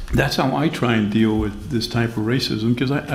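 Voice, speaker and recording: A man with a medium-pitched voice speaks at a moderate pace, with audible room echo around him. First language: Spanish. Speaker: panelist at community discussion on race. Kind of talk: panel discussion.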